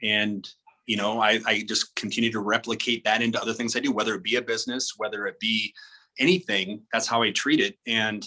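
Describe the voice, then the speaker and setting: A man with a normal speaking voice and an American accent talks at a fairly quick pace and medium pitch, with ordinary pitch variation and a dry, close sound with no echo. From South Dakota, US Midwest. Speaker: pro bodybuilder and fitness model. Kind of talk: podcast interview. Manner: casual, filler-heavy.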